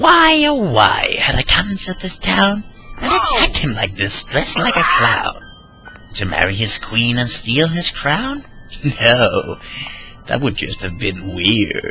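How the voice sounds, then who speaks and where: Against clear background music, a put-on character voice speaks at a fairly slow pace. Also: man. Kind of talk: narrated dark poem. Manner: childish, sing-song.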